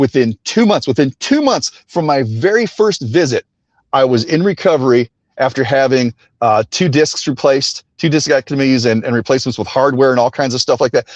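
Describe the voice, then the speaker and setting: A man with an American accent talks at a medium pitch with ordinary pitch variation and very even loudness, in a dry, close sound with no echo. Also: fairly quick pace. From Texas. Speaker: radio host, tackle shop owner. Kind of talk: casual interview chat.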